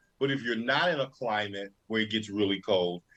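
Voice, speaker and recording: A man with a Southern US accent, a bright, sharp tone and ordinary pitch variation. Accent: Southern US accent, noticeable. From North Carolina. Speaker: fashion show co-host. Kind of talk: casual chat.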